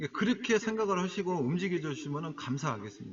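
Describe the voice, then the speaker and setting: With a Jeolla accent, a man speaks at a moderate pace in a high pitch with lively intonation. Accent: Jeolla dialect, can't drop it. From Jeolla, South Korea. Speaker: stock trading broadcaster. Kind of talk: live-stream talk to viewers. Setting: solo live internet broadcast. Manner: casual, conversational.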